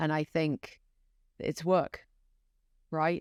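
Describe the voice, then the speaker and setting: A woman with a British accent speaks in a very deep, low voice and a flat monotone, the sound dry and close with no echo. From UK. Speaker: podcast guest, former executive. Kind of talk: casual interview.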